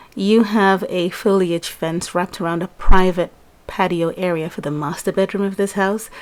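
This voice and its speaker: A woman speaks quietly at a moderate pace, her medium pitch held in fairly even intonation. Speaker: mobile game let's play youtuber. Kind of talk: gameplay commentary. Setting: at home, early morning. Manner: subdued, quiet.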